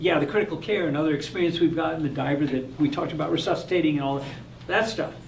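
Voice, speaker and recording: A man talks very fast in a fairly high voice with ordinary pitch variation. Noticeable background noise and audible room echo fill the recording. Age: 60s. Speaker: hyperbaric oxygen physician. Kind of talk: live stream Q&A.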